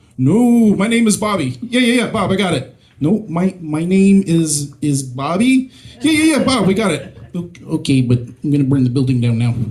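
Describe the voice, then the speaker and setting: Pitched high and swinging very widely, a man's voice moves at a moderate pace amid audible room echo and noticeable background noise. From Mississippi, US South. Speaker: stand-up comedian. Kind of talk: stand-up. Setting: stage with audience. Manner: halting, many fillers.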